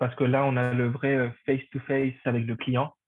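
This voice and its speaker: At a moderate pace, a man speaks at medium pitch. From Paraguay. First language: Spanish (speaking French). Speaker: hotel front office manager. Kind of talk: interview.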